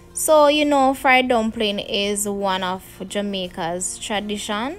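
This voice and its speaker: A woman at a very slow pace, ordinary pitch variation, faint music in the background. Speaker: home cooking channel host. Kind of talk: tutorial. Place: kitchen.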